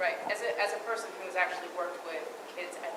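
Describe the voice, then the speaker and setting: Noticeable background noise and audible room echo fill this recording. A woman talks at a medium pitch with ordinary pitch variation. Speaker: public commenter. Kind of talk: public comment. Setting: school board meeting. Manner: loud. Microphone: speaking without a mic.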